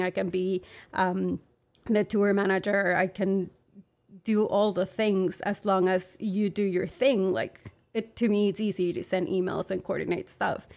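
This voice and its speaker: A woman's medium-pitched voice in a Spanish accent, fairly slow and fairly even in intonation, with very even loudness, on a very clean recording with a silent background. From Monterrey, Mexico. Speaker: arts organizer. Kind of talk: interview. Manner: hesitant, many fillers.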